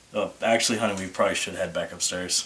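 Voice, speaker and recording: In a raspy, put-on character voice, a man delivers his lines with a deadpan tone at a very fast pace. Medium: comedy sketch.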